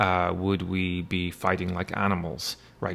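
A man with an Irish accent at a fairly slow pace. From Ireland. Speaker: university lecturer; instructor. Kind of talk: lecture. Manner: hesitant, many fillers. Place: home room. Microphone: webcam.

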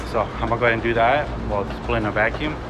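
Loud background noise sits behind a man who speaks at a very fast pace. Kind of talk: casual vlog chat. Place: street. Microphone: phone near.

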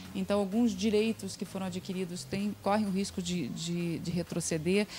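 Over light background noise, a somewhat breathy woman talks at a fairly quick pace with ordinary pitch variation. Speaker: interviewee. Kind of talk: interview answer. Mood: earnest, engaged. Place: studio. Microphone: handheld.

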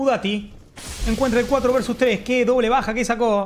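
A woman's calm voice over light background noise. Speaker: esports commentator and streamer. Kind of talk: esports play-by-play commentary over CS:GO match highlights. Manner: casual, swearing, slangy and fanlike, mixing in stretches of calm analysis. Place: home room.

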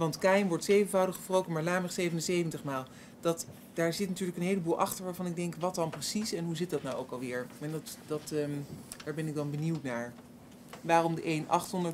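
Light background noise accompanies a woman whose fairly low voice has fairly even intonation. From Netherlands. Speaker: panelist. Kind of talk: bible study discussion. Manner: halting. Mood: curious, reflective. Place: hall. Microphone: podium.

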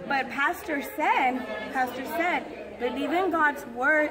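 A woman talks at a fairly slow pace with ordinary pitch variation. Crowd noise can be heard behind her. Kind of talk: casual vlog chat. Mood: animated, expressive storytelling. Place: church. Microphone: phone near.

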